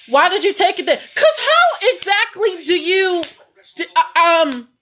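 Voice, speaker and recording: A loud woman with an extremely high pitch speaks at a fairly slow pace in an animated tone, her pitch swinging very widely. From Baltimore, Maryland. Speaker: caregiver and social media creator. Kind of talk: casual livestream chat.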